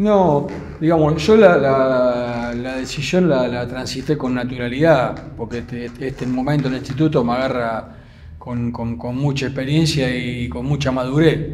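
A man in an Argentine accent at medium pitch, fairly slow, with ordinary pitch variation and light background noise. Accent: Rioplatense Argentine Spanish. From Buenos Aires area, Argentina. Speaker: football coach, former goalkeeper; football coach. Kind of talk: interview. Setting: club gym. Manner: halting, frequent repetitions. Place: gym. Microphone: studio mic.

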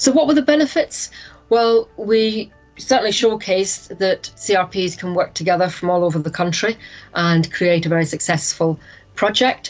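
Moderate-paced speech from a woman, faint music in the background. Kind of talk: presentation. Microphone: video call.

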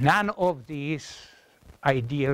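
A man talks with a Czech accent, his pitch swinging very widely. The sound is dry with no echo, over light background noise. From Czechoslovakia (Moravia); Czechoslovakia. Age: 80s+. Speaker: professor. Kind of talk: lecture. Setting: classroom with audience. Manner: halting. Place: classroom.

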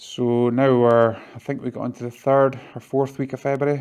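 The voice has a slightly mellow tone and a moderate pace. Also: man.

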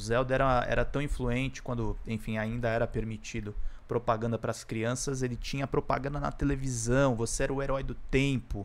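A man with a Brazilian accent, fairly even intonation, a fairly quick pace and hardly any pauses. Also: medium pitch for a man. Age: 30s. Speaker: gaming YouTuber. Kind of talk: casual video monologue. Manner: halting, many fillers. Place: home room. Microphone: studio mic.

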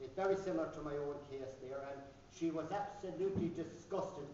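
A man with a high pitch talks at a moderate pace with fairly even intonation, audible room echo, and light background noise. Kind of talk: speech at a book launch. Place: hall. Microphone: camera far.

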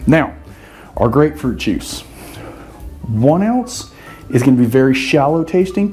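The pace is moderate. It is a man's voice. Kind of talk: tutorial. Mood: relaxed, chatty. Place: bar. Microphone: camera far.

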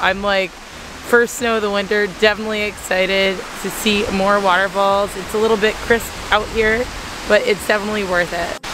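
A woman talks at a moderate pace, the sound dry with no echo and noticeable background noise present. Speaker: travel vlogger. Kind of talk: casual vlog chat. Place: forest. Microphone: phone near.

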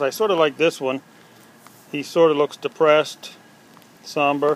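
Light background noise sits under a dry sound with no echo. A man talks at a moderate speed, his intonation fairly even. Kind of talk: casual show-and-tell commentary. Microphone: phone near.

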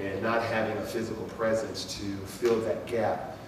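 Over noticeable background noise and audible room echo, a man talks at a moderate pace in a fairly low pitch. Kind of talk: public address to residents. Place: hall.

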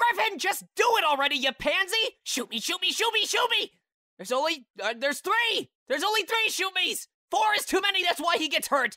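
The voice has an extremely high pitch and moves at a moderate pace. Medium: voice reel. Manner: impatient, joking.

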